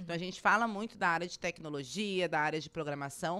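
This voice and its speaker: Her pitch shows ordinary variation as the woman speaks. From Brazil, Cuiabá, Mato Grosso; Mato Grosso, Brazil. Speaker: tech event organizer; interview guest. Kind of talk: radio interview. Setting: radio studio. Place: studio. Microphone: studio mic.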